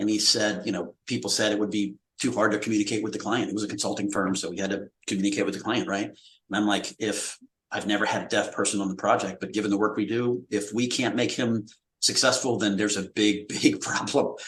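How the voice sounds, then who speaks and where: The man's pitch is fairly low, with ordinary variation. He talks at a very fast pace. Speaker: accessibility product manager. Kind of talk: live webinar discussion.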